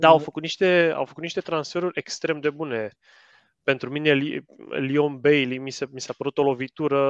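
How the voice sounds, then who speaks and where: In a plain, everyday voice, the speaker goes at a moderate pace with fairly even intonation and big swings in loudness, the sound dry and close with no echo. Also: man, fairly high pitch for a man. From Romania. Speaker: football podcaster. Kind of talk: casual chat.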